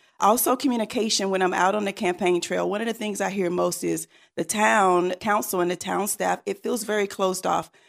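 Talking at a fairly quick pace with hardly any pauses, a woman of medium pitch uses fairly even intonation and vocal fry in a very clean recording with a silent background. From eastern North Carolina (Rocky Mount). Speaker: town council candidate. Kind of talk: interview.

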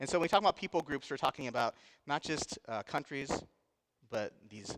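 A man with an American accent, the sound dry and close with no echo. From US Midwest, Indiana. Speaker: missionary. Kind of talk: sermon. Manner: halting.

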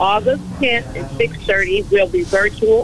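Speech with an American accent, against noticeable background noise. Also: woman. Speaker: city council member. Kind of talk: call-in radio talk. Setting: phone call.

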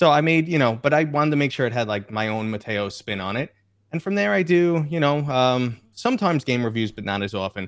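A man with an American accent speaks in a plain, everyday voice at a fairly quick pace. His pitch is medium, with lively intonation. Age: 40s. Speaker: VR YouTuber. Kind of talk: casual chat. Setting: video call.

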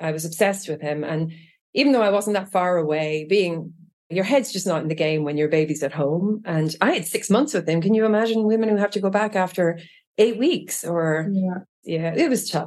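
A woman speaks with an Irish accent at a fairly quick pace. Her pitch is medium, with ordinary variation. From Ireland (Trim, County Meath). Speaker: user experience design lead. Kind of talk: casual interview.

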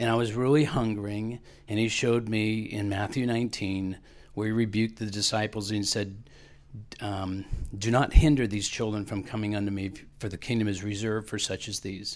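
Fairly low male voice, a plain, everyday voice, fairly quick in pace with fairly even intonation. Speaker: class member sharing testimony. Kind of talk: testimony.

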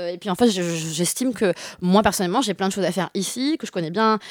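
At a very fast pace, a woman speaks with lively intonation in a dry, close sound with no echo, on a very clean recording with a silent background. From France, grew up in Bordeaux. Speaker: street artist and poet. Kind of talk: casual interview. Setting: radio studio.

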